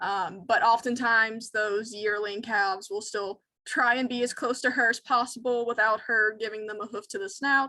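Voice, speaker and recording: A woman's fairly high, bright and sharp voice, fairly even in intonation, at a moderate pace with hardly any pauses. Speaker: wildlife educator. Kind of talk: educational webinar Q&A.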